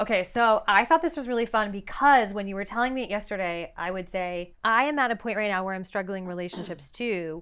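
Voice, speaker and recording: In a very clean recording with a silent background, a woman with an ordinary speaking voice talks at a fairly quick pace with ordinary pitch variation. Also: medium pitch for a woman. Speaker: podcast host and licensed therapist. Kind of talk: podcast conversation.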